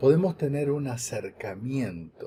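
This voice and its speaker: Speaking very slowly with an Argentine accent, a man has a dark, mellow tone and is somewhat breathy. His intonation is lively. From Argentina, Buenos Aires. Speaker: lecturer. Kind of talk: lecture. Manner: halting, with fillers and repeats.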